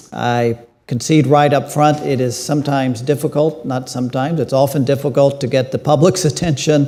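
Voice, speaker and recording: A man speaks at a fairly quick pace in a fairly high pitch, his intonation fairly even. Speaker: panel moderator, editorial director. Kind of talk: panel moderation. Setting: conference stage with audience.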